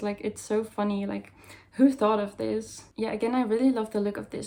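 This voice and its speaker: A woman with a Dutch accent talks at a fairly quick pace and a fairly high pitch, keeping her intonation fairly even. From Netherlands or Flanders. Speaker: goth fashion vlogger. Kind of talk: haul video, casual talk to camera.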